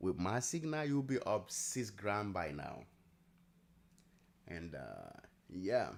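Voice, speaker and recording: A man's fairly low voice at a very slow pace, with very wide pitch swings and long, frequent pauses. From Nigeria. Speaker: day trader streamer. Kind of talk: live trading stream chat.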